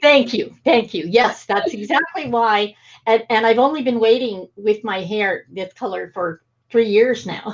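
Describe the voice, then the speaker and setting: A woman with an unremarkable speaking voice talks fairly slowly at a fairly high pitch, her intonation lively. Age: 60s. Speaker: talk show host. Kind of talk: interview conversation.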